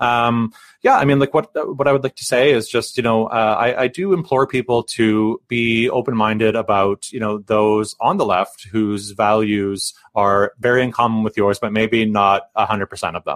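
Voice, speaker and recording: With a Canadian accent, a man speaks at a moderate pace with hardly any pauses. His medium-pitched voice has ordinary pitch variation and is an unremarkable speaking voice. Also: dry, close sound with no echo. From British Columbia. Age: 40s. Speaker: union rep and podcast co-host. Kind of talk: casual interview.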